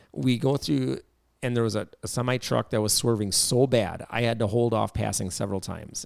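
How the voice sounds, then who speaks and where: On a very clean recording with a silent background, a man with a Wisconsin accent speaks at a medium pitch and a fairly quick pace, with vocal fry. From Wisconsin, US Midwest. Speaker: podcast host. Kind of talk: casual chat. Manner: animated.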